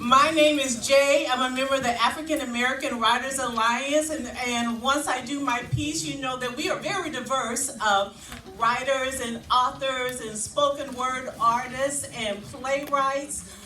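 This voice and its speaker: A raised, projected voice at a fairly slow pace, with fairly even intonation, hardly any pauses and noticeable background noise. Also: woman, high pitch for a woman. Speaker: spoken word poet. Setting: live event with audience. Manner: loud.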